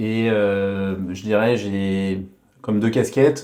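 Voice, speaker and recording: This man's voice sits fairly low in pitch and has a dark, mellow tone. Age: 30s. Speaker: social entrepreneur. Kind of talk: interview. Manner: halting, many fillers.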